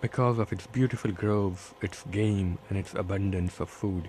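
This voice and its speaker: A man's fairly low voice at a fairly slow pace, with ordinary pitch variation, over noticeable background noise. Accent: Bombay. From India, Bombay. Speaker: author. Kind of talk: reading aloud from his book. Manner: measured, literary narration.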